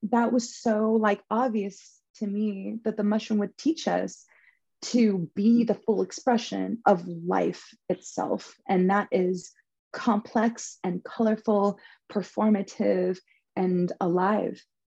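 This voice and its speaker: At a very slow pace, a woman talks in a medium-pitched, dark, mellow voice that is somewhat breathy, keeping her intonation fairly even. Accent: American. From Southern California. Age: 20s. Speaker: spiritual practitioner. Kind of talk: casual chat.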